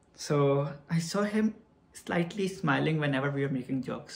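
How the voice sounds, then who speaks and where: A man is heard here, his voice somewhat breathy. His pitch is fairly high. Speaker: vlogger. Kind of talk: storytelling vlog.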